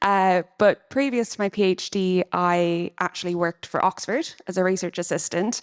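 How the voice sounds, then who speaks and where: Over a quiet background, a woman with an Irish accent speaks at medium pitch, the sound dry and close with no echo. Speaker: PhD researcher and charity treasurer. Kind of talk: conference panel introduction.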